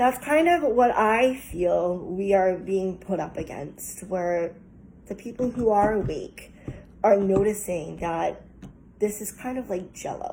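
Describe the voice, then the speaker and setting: Ordinary pitch variation carries the words along at a very slow pace. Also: woman, medium pitch for a woman. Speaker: tarot reader. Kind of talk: collective tarot reading. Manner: halting, stuttering.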